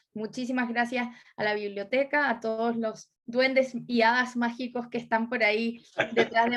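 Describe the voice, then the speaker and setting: Her intonation is monotone and flat. The woman speaks at a moderate pace in a fairly high pitch. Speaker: writer and literature professor. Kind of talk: book club discussion. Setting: video call.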